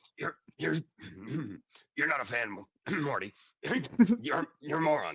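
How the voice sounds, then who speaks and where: Putting on a raspy character voice at a fairly high pitch, a man talks fairly slowly with long, frequent pauses. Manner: stammering, slurred.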